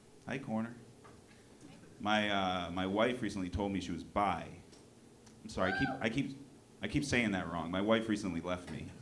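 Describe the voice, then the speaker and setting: In an American accent, a man with a fairly low pitch and an animated tone speaks at a moderate pace with ordinary pitch variation, taking long, frequent pauses amid noticeable background noise and audible room echo. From New Hampshire, US. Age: 40s. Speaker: comedian. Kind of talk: stand-up. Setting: stage with audience.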